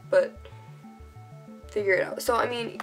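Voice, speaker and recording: Music plays behind the speaker. She is a woman talking at a moderate pace. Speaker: cosplayer. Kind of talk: casual tutorial talk to camera.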